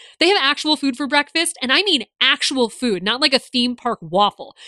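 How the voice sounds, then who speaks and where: A woman projects a raised, high-pitched voice at a moderate pace, bright and sharp in tone. She sounds animated and enthusiastic, the sound dry and close with no echo. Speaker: podcast host and theme park journalist. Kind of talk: solo scripted-style podcast monologue, casual. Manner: animated, enthusiastic.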